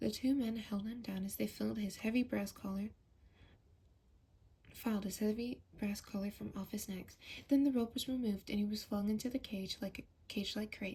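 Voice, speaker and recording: A soft-spoken woman talks at a fairly high pitch and a fairly quick pace. Her tone is dark, mellow and somewhat breathy, with fairly even intonation. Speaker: ASMR creator. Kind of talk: ASMR audiobook reading.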